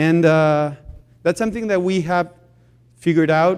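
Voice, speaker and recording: A man speaks with a Spanish accent at a fairly high pitch and a fairly quick pace. His pitch varies in an ordinary way. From Chile. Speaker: social enterprise founder. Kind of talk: conference talk. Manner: halting.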